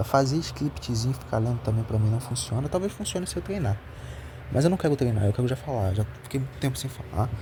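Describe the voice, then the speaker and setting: With noticeable background noise behind him, a man talks fairly quickly at a medium pitch with lively intonation. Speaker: amateur philosophy vlogger. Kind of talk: casual monologue. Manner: halting.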